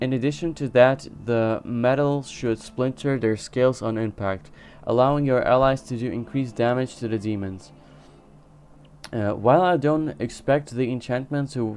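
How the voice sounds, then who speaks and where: A man with a non-native accent, medium pitch, moderate pace and ordinary pitch variation. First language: not English. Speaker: video game streamer. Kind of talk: casual gaming commentary; reading quest text aloud. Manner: halting, frequent self-corrections.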